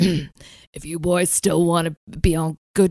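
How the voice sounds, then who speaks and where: Using a growling, put-on character voice, a woman with a fairly low pitch speaks at a fairly slow pace in monotone, flat intonation, with a dry, close sound and no echo. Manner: menacing.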